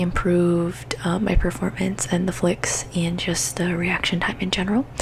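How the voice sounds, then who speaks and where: Soft-spoken and at a moderate pace, the voice comes through noticeable background noise. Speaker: gaming ASMR creator. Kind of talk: soft-spoken ASMR gaming tips.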